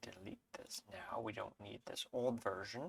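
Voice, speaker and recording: A man speaks quietly at a fairly slow pace. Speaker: Linux tutorial creator. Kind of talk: screen-share tutorial. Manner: hesitant with fillers.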